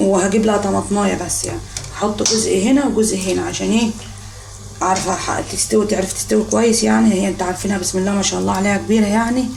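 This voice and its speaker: A woman with an Egyptian accent speaks at a very fast pace, with audible room echo and noticeable background noise. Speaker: home cooking vlogger. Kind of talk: cooking tutorial. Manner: casual, chatty.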